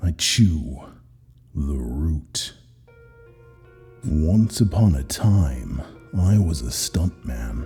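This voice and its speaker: Faint music plays in the background as a man with a very deep, low pitch speaks at a very slow pace, using lively intonation and long, frequent pauses. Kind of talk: hard-boiled first-person horror narration. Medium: read story. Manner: terse, weary.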